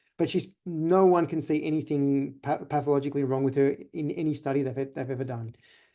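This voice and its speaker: Speaking at a fairly quick pace with hardly any pauses, a man with an Australian accent has a fairly high pitch, a dark, mellow tone and fairly even intonation. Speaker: chiropractor. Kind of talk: webinar presentation. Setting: online webinar. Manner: fast.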